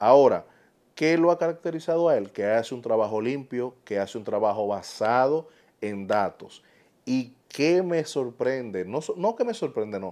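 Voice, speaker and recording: Against a quiet background, a man with a Dominican accent speaks in a medium pitch with a dark, mellow tone and lively intonation. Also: fairly slow pace. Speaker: political commentator YouTuber. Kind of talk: opinion monologue. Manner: animated.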